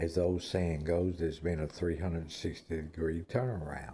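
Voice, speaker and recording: A man speaks with a very deep, low pitch that is somewhat breathy. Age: 60s. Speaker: former prisoner telling his life story. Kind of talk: personal monologue. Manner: slow; repetitive.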